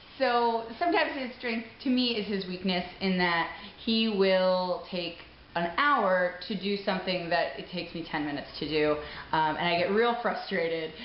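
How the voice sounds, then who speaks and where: Against noticeable background noise and audible room echo, a woman speaks at a medium pitch and moderate pace with ordinary pitch variation. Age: 30s. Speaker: contestant couple partner. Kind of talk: interview. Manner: loud.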